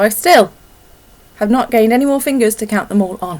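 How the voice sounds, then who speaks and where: Mumbling at a fairly quick pace, a woman speaks with a fairly high pitch and ordinary pitch variation. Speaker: knitting podcaster. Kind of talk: casual vlog chat.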